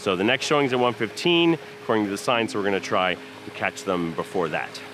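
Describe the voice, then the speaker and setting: A man's fairly low voice at a fairly quick pace, pitch swinging very wide, with music in the background. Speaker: theme park vlogger. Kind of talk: walking tour vlog.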